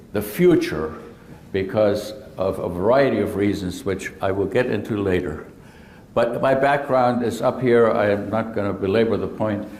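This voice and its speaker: There is audible room echo as a man talks at a moderate pace with a fairly low pitch and ordinary pitch variation. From Germany. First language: German. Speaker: surgeon. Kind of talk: presentation talk. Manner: hesitant.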